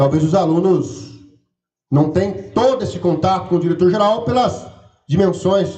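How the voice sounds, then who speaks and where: In a São Paulo interior accent, a man speaks at a high pitch and a fairly slow pace, with a dark, mellow tone and ordinary pitch variation. Audible room echo surrounds his voice. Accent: caipira accent from interior São Paulo. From rural interior of São Paulo state, Brazil. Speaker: campus director running for re-election. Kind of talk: election debate. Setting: auditorium with audience, livestreamed.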